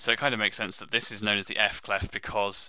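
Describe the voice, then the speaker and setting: A man with a British accent speaks at a fairly quick pace in a bright, sharp tone, on a very clean recording with a silent background. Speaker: music teacher. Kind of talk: tutorial.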